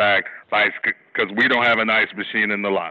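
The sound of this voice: Loud and fast, a man speaks at a fairly low pitch with fairly even intonation.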